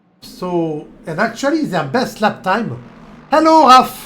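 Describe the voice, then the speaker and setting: Amid audible room echo, a man with a French accent speaks in an animated tone with very wide pitch swings. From France. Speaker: sim racing commentator. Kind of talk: live commentary; casual chat. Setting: live stream.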